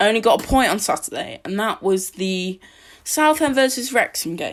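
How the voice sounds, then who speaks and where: A woman with an English accent and very wide pitch swings. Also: very clean recording, silent background. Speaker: football podcaster. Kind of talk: solo match preview podcast. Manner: halting, many fillers.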